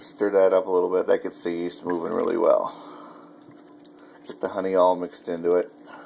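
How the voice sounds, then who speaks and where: The speech moves at a fairly quick pace, broken by long, frequent pauses. Loudness swings widely, and noticeable background noise is present. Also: man. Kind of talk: casual home cooking demo talk.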